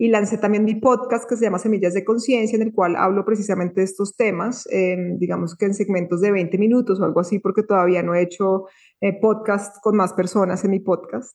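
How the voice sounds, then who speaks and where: Moving at a fairly quick pace, a woman speaks at a medium pitch with very even loudness and fairly even intonation. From Colombia, Bogotá. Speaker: spiritual content creator. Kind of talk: casual interview.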